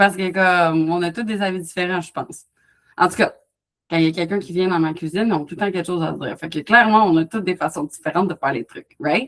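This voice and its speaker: At a very fast pace, a woman speaks at a fairly low pitch. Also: ordinary pitch variation. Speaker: wellness coach. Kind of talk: live online workshop Q&A. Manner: animated.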